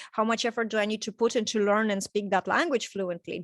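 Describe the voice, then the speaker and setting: A voice with a Russian accent and ordinary pitch variation, dry and close with no echo in a very clean recording over a silent background. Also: woman. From Estonia, Tallinn. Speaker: coaching client. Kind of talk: testimonial interview. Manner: halting.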